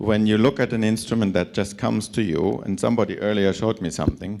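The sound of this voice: With a raspy, slightly mellow tone and some vocal fry, a man talks at a fairly quick pace, his fairly low pitch showing ordinary variation.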